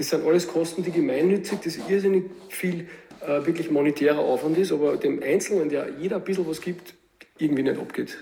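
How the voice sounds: The voice has a dark, mellow tone with vocal fry, moving at a fairly quick pace with few pauses, ordinary pitch variation and audible room echo. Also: man, fairly high pitch for a man.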